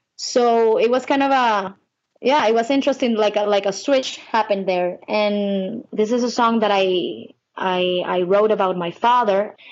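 A woman with a Spanish accent speaks at a fairly high pitch with ordinary pitch variation. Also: moderate pace. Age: 20s. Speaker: singer-songwriter. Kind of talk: interview.

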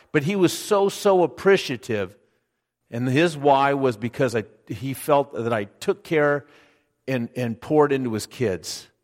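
This man has an ordinary speaking voice and talks at a fairly slow pace. His intonation is lively. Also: fairly high pitch for a man, very clean recording, silent background. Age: 60s. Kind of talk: sermon. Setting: church.

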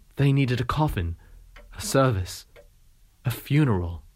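With a dark, mellow tone and a medium pitch, a man speaks at a moderate pace in a dramatic tone with lively intonation. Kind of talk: audiobook reading of novel extracts. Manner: measured, narrative, expressive reading with dramatic pauses.

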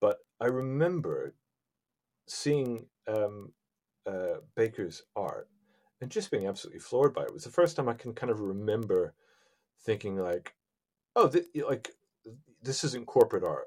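Over a very clean recording with a silent background, a man talks at a moderate pace with long, frequent pauses. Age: 40s. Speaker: comic book creator. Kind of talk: casual interview chat. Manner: hesitant, many fillers and repeats.

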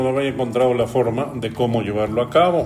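Rather brisk talk against clearly noticeable background noise. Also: man. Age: 70s. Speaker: business consultant. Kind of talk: interview conversation.

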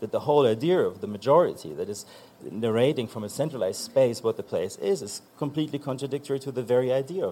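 With a German accent, a man talks at a very fast pace in a fairly high pitch, his lively intonation paired with big swings in loudness. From eastern Germany. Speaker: author, composer and magazine editor. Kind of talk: panel discussion. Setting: stage with audience.

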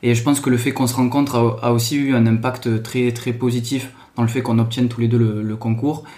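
Speaking at a fairly quick pace with a strong Toulouse accent, a man keeps a medium pitch in a flat monotone while room echo is audible. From Toulouse area, southern France. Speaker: PE teacher. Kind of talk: casual chat.

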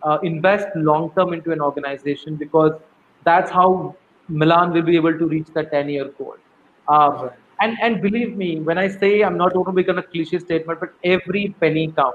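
Using fairly even intonation, a man talks at a fairly quick pace with a high pitch. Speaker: nonprofit CEO. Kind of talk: interview. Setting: video call.

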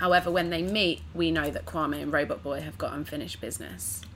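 Here a woman talks with a London accent. Her pace is fairly quick. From East London. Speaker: actress and writer. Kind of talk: casual chat.

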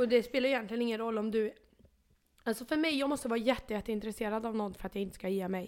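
The speaker is a woman with a fairly high voice. She delivers her words very quickly. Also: ordinary pitch variation. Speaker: podcast co-host. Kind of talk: casual chat. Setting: home bedroom. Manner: animated.

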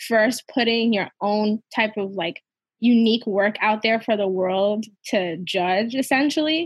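A woman with an American accent speaks in a somewhat breathy, fairly high voice. Her pace is fairly slow. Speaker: podcast host. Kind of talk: casual chat.

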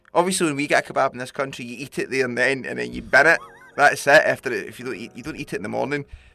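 Talking at a very fast pace, a man's voice swings widely in loudness. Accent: Glasgow. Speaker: podcast host, musician. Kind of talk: casual chat. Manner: animated.

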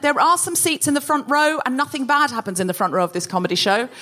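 Over noticeable background noise, a woman talks at a very fast pace in a raised, projected voice, her high pitch moving with lively intonation. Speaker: comedy podcast host. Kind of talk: live comedy podcast with panel. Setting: stage with audience. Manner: animated.

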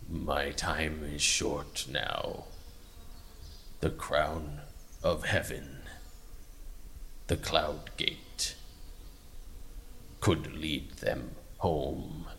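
Someone performs a put-on character voice at a very slow pace over clear background noise. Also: man.

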